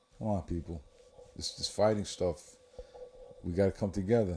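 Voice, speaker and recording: Amid noticeable background noise, a man with an American accent talks at a moderate pace with ordinary pitch variation. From United States. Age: 60s. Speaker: political podcast host. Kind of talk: political commentary monologue. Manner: animated, conversational with repetitions.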